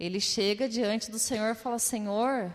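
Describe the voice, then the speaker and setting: A woman speaks in a fairly high pitch at a moderate pace. She has an ordinary speaking voice. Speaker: preacher. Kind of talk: sermon.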